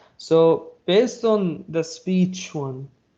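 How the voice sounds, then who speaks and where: A dark, mellow tone with an Arabic accent and ordinary pitch variation over a quiet background. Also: man. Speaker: cloud technology presenter. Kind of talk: technical webinar presentation. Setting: live online stream. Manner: halting, many fillers and repeats.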